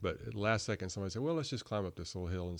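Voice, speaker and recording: Against a quiet background, a man speaks with an American accent in a very deep, low voice. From North Carolina Piedmont (Burlington). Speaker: author of a trail guidebook. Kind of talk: casual interview chat. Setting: podcast studio.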